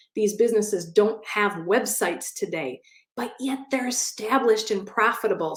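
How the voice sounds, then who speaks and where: A woman in a Midwestern accent, animated and medium-pitched, at a moderate pace. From US Midwest, Wisconsin. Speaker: SBA loan consultant. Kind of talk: live online event talk. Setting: online audio room.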